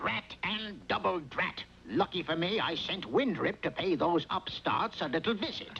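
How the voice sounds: In a put-on character voice, a man speaks high-pitched with vocal fry, a bright, sharp tone and lively intonation at a fairly slow pace.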